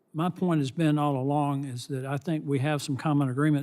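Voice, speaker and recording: Speaking at a moderate pace, a man with a Southern US accent uses a fairly high pitch and fairly even intonation. The recording is very clean, with a silent background. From US South. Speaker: congressman. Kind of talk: congressional hearing questioning. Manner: halting.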